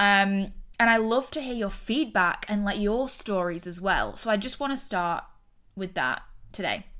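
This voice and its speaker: A woman's medium-pitched voice with an English accent, bright, sharp and animated in tone, with ordinary pitch variation at a moderate pace. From UK. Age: 30s. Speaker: podcast host and mindset coach. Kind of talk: casual solo monologue. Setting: recording on her bed at home.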